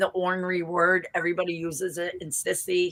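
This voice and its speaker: This woman speaks with a Boston accent. Her pitch sits in the medium range. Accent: thick Boston. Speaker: vlogger. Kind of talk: casual chat.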